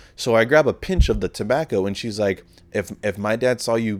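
This is a normal speaking voice from a man at medium pitch, moving at a fairly quick pace. The sound is dry and close, with no echo. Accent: American. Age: 20s. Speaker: podcast host. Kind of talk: casual solo podcast monologue. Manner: casual, profane, rambling; self-deprecating, joking.

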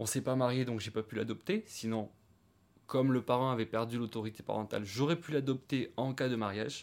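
A man's medium-pitched voice at a fairly quick pace, with ordinary pitch variation, in a very clean recording with a silent background. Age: 30s. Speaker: woodworker and stepfather. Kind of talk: interview testimony. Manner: halting.

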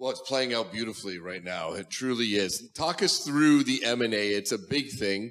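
A man with an unremarkable speaking voice talks at a medium pitch and a moderate pace. His intonation is lively, with hardly any pauses. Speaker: interviewer, media executive. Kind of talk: onstage interview. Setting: stage with audience.

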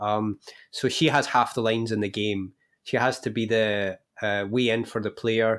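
A man's monotone, flat delivery at a moderate pace, on a very clean recording with a silent background. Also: medium pitch for a man. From UK. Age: 30s. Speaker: game writer and novelist. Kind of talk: interview.

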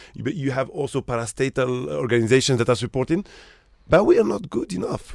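This man speaks very fast, his medium pitch swinging very widely. Vocal fry runs through his voice. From Morocco. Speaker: hotel general manager. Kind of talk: radio interview. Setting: studio.

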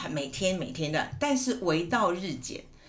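Fairly slow, very widely swinging speech with audible room echo and noticeable background noise. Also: woman. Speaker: teacher and counselor. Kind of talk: casual chat. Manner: clear articulation.

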